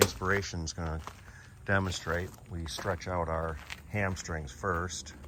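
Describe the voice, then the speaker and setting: With a bright, sharp tone and a very deep, low pitch, a man speaks at a fairly slow pace. He leaves long, frequent pauses, and room echo is audible. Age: 60s. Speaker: hiking vlogger. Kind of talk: casual vlog narration. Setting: outdoors. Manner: casual.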